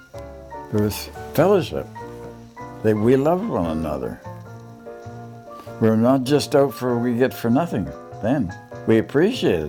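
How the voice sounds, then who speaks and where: A man's medium-pitched voice, fairly slow, with very wide pitch swings and long, frequent pauses over music in the background. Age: 80s+. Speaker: elderly local resident recalling childhood. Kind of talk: interview answer.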